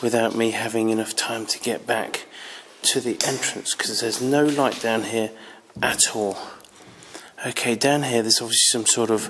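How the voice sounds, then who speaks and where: A man speaks at a moderate pace in a monotone, flat intonation. He takes long, frequent pauses over light background noise. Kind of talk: casual exploration commentary. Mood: slightly nervous, hushed. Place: tunnel cave. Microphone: phone near.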